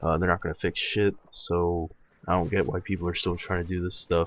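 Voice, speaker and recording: A man talks at a moderate pace. His very deep, low pitch holds a monotone, flat intonation. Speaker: gaming commentator. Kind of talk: gameplay commentary rant. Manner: hesitant, many fillers.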